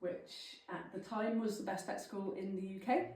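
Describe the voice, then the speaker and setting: A woman with a South Welsh accent speaks at a moderate pace, with audible room echo. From South Wales, Llanelli. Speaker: farm vet and lecturer. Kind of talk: talk to a local club. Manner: casual, filler-heavy.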